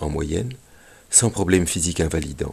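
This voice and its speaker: This man's voice carries a slight breathiness. His intonation is lively. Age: 60s. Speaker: retired veterinary school teacher, radio commentator. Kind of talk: scripted radio commentary. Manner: formal.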